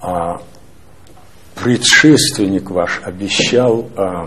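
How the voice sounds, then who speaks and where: Light noise sits in the background. The speaker's intonation stays fairly even. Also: man. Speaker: newspaper editor; newspaper editor asking questions. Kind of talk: press interview. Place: office. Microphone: lapel.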